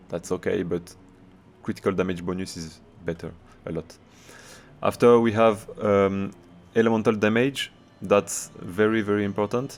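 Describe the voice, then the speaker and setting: A man with a French accent, fairly low in pitch, at a moderate pace, fairly even intonation and long, frequent pauses. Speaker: video game streamer. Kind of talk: gameplay tutorial. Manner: halting.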